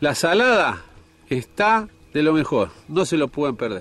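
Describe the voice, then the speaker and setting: Fairly slow pace with very wide pitch swings. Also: man. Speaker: fishing show host. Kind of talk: casual fishing vlog narration. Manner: animated.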